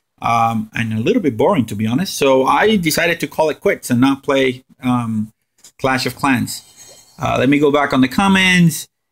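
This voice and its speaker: Using a Spanish accent, a man with a fairly high pitch talks at a moderate pace with lively intonation. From Puerto Rico. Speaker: gaming streamer. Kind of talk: live stream gameplay commentary. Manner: animated.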